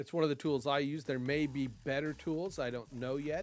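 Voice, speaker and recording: Music plays in the background. Over it, a man speaks with fairly even intonation. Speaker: streamer. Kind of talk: casual live stream chat. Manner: loud; halting, many fillers.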